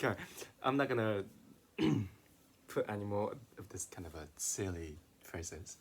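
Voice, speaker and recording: With a non-native accent, a man talks in a somewhat breathy voice with ordinary pitch variation. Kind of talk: casual talk to camera.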